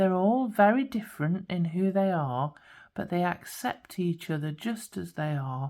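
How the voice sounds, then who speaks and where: A woman speaks in a dark, mellow tone that is also gentle and warm. Her intonation is lively. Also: very clean recording, silent background. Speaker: spiritual guidance coach and tarot card reader. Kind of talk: pick-a-card tarot reading to camera. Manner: gentle, warm, soothing.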